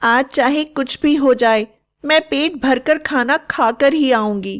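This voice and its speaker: A female-sounding voice performs a put-on character voice at a high pitch and a fairly slow pace. The recording is very clean, with a silent background. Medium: read story. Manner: bossy, scolding.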